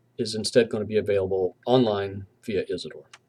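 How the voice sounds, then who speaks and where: With a slight Southern US accent, a man talks at a moderate pace in a dark, mellow tone with ordinary pitch variation. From US South, southwestern Virginia. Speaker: university professor. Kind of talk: lecture. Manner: hesitant, with fillers.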